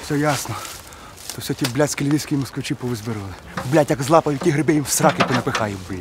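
Noticeable background noise sits behind this recording. A man speaks with ordinary pitch variation. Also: dry sound with no echo. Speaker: comic character. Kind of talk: acted comedy dialogue, phone call. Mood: exasperated, swearing, boastful. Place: forest.

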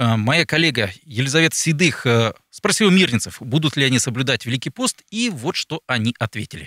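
A man speaks at a fairly quick pace in a bright, sharp tone, his pitch swinging very widely. The sound is dry with no echo, and the background is quiet. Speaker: radio talk show host. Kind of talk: interview questions. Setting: studio. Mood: calm, polite. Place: studio. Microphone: studio mic.

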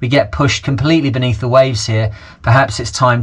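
A man, fairly quick in pace, intonation fairly even. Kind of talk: casual vlog chat. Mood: earnest, candid about money troubles. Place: boat. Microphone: phone near.

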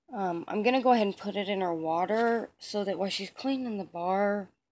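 The voice shows ordinary pitch variation, with noticeable background noise behind it. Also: woman. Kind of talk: casual vlog chat. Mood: playful, mischievous. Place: home room. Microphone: phone near.

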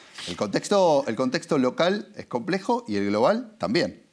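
A man with a Rioplatense accent speaks against a quiet background. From Argentina. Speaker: advertising agency executive; interviewee. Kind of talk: interview. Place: studio.

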